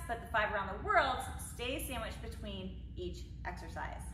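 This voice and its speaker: Audible room echo and light background noise surround a woman's voice. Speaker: fitness instructor. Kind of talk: workout tutorial. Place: gym. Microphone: camera far.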